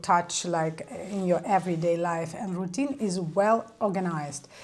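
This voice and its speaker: Over noticeable background noise, a woman's fairly slow speech shows ordinary pitch variation. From Ukraine. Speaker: lifestyle vlogger. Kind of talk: casual vlog talk to camera. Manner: hesitant, many fillers.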